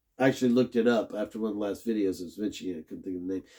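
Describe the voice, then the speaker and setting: Recorded very cleanly against a silent background, a man speaks in a dark, mellow tone. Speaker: religious podcaster. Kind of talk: Bible study monologue. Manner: halting, many fillers and restarts.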